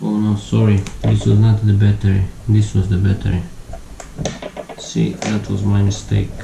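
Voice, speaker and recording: A man talks at a moderate pace with long, frequent pauses. Noticeable background noise and audible room echo are present. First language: not English. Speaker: tech YouTuber. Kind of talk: tutorial. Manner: halting. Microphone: voice too quiet under music.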